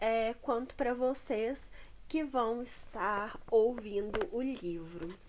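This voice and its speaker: A woman at a very slow pace, fairly high in pitch, with ordinary pitch variation. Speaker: YouTuber reading audiobooks. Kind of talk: casual chat introducing a book reading. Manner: slurs words together. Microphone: poor-quality microphone.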